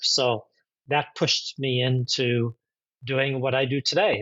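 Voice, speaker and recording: In a plain, everyday voice, a man with an American accent speaks at a fairly slow pace and medium pitch. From USA. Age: 60s. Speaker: executive coach. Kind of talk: interview conversation.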